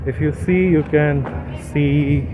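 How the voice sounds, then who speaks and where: Music plays behind a man whose pitch moves in very wide swings. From India. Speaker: travel vlogger. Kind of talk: travel vlog narration. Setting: walking tour of historic site. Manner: lowered voice, quiet.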